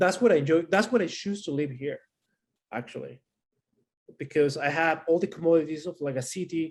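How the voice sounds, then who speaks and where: A man with a Chilean accent at a fairly quick pace, with ordinary pitch variation and long, frequent pauses. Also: fairly high pitch for a man. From Santiago, Chile. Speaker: panelist. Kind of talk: panel discussion.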